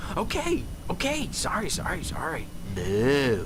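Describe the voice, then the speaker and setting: A man performs a put-on character voice at a fairly slow pace, with loud background noise throughout. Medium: video game.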